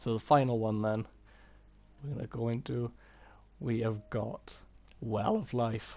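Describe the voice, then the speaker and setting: His tone is dark and mellow. The man speaks at a medium pitch. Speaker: gamer. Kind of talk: game build tutorial voiceover. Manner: hesitant, slight stutter.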